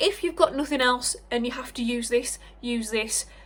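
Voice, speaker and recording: A woman with a British accent talks at a fairly quick pace. Her pitch is high, with ordinary variation. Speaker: beauty vlogger and cosmetics sales rep. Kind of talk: product review vlog. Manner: animated.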